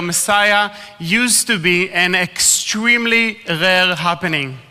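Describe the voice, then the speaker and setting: A man raises and projects his voice, speaking at a fairly slow pace with ordinary pitch variation. Noticeable background noise runs underneath. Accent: Israeli. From Israel. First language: Hebrew. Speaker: ministry speaker. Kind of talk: talk to a live audience.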